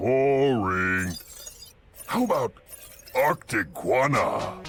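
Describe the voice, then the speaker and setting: With music in the background, a man performs a cartoonish character voice at a medium pitch. His pace is very slow. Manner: flat, clipped, formal.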